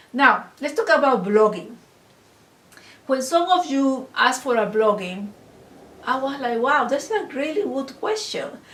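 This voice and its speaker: A woman's high-pitched voice with a non-native accent and very wide pitch swings, broken by long, frequent pauses, in a room with audible echo. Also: fairly slow pace. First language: not English. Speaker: online course instructor. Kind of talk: lecture. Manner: halting.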